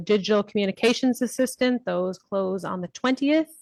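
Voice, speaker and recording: Fairly quick speech from a woman, medium in pitch, with ordinary pitch variation. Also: dry, close sound with no echo. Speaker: county chief administrative officer. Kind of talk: council meeting report. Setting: council chamber, livestreamed. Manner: soft-spoken.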